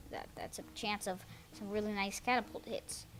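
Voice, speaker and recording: With music in the background, a woman speaks at a fairly quick pace. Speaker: gaming video commentator. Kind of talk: game replay commentary. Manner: fast; hesitant, many fillers.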